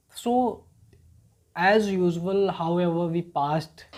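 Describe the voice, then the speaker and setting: A man speaks with an Indian accent. His tone is dark and mellow. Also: very clean recording, silent background. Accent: Indian English, Hindi-speaking. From rural northern India. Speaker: English learner. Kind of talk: personal story told to camera.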